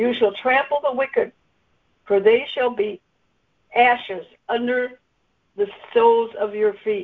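A fairly high-pitched woman at a fairly slow pace, with fairly even intonation and long, frequent pauses. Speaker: conference call participant sharing a word. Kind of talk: scripture reading and sharing. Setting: conference call.

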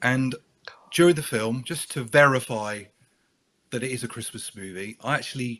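The man's medium pitch varies in an ordinary way while he keeps a moderate pace. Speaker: guest. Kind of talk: casual chat.

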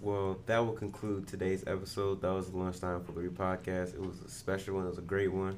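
A speaker with a New Orleans accent talks at a fairly quick pace in a monotone, flat intonation. Room echo is audible. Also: man. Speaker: podcast host. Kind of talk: interview. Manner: casual, laid-back.

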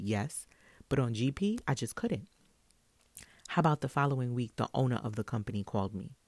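A woman with a New York accent and a very deep, low pitch speaks in an animated tone with lively intonation at a fairly quick pace. She takes long, frequent pauses, and the recording is very clean with a silent background. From Brooklyn, New York. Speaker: podcast host and salon owner. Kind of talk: casual solo monologue.

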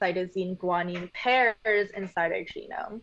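Against a quiet background, a woman with an unremarkable speaking voice talks at a fairly slow pace with ordinary pitch variation. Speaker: medical genetics graduate. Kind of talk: interview explaining science.

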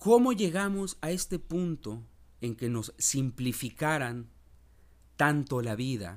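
A man speaks at a very slow pace. His voice is fairly high and swings very widely in pitch. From Mexico, Veracruz port. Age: 40s. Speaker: podcast host. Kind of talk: reflective monologue.

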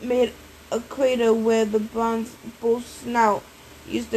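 What you hear is plain reading aloud.

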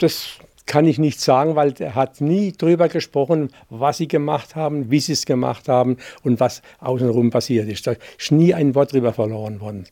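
In a very clean recording with a silent background, a man with a fairly high pitch and a dark, mellow tone talks with ordinary pitch variation, the sound dry and close with no echo. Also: moderate pace. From Baden, near Bruchsal (Germany). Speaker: contemporary witness. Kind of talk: interview. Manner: halting.

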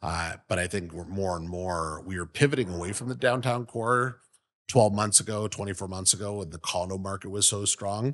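This is a normal speaking voice at a moderate pace with ordinary pitch variation. The background is quiet. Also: man, fairly low pitch for a man. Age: 40s. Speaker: real estate company CEO. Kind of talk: interview. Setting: office.

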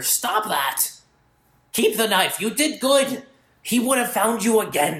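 A put-on character voice comes through at a fairly high pitch and a fairly slow pace. Long, frequent pauses break up the delivery. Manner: whispering.

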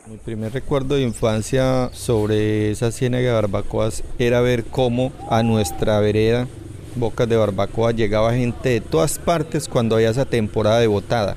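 Against noticeable background noise, a man at medium pitch speaks at a moderate pace with fairly even intonation and very even loudness. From Colombia, Puerto Berrío area, Antioquia. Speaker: fishermen's federation leader. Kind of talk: interview testimony.

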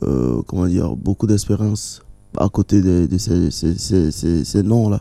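Dark and mellow in tone, the voice sounds dry and close with no echo, on a very clean recording with a silent background. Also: man. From Togo. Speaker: jazz musician and singer. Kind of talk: radio interview. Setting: studio. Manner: halting.

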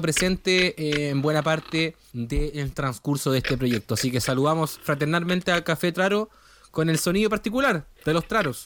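A man with a Chilean accent speaks at a moderate pace and a fairly high pitch. His loudness is very even, with ordinary pitch variation. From Chile, Valdivia. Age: 30s. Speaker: podcast co-host, psychologist. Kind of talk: casual chat.

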